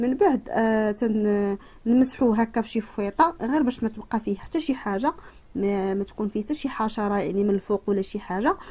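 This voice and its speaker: Somewhat breathy and dark, mellow in tone, a woman's fairly high voice moves at a moderate pace. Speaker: cooking and home remedy youtuber. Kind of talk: tutorial. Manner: halting, many fillers.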